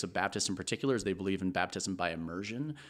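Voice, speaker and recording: A man speaks in a plain, everyday voice at a fairly quick pace with lively intonation, on a very clean recording with a silent background. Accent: American. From Texas. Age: 30s. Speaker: podcast guest. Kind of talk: casual chat.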